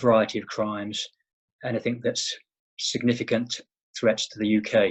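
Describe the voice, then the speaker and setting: A man with a British accent speaks at a moderate pace and medium pitch in a monotone, flat intonation against a quiet background. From England. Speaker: private investigator, former law enforcement officer. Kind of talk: interview. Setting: remote interview from home.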